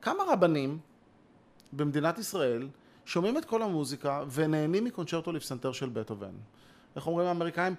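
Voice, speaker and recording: A man's fairly high voice with lively intonation, broken by long, frequent pauses. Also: moderate pace. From Israel, Ramat Gan. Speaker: composer and conductor. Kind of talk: conversation. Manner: animated.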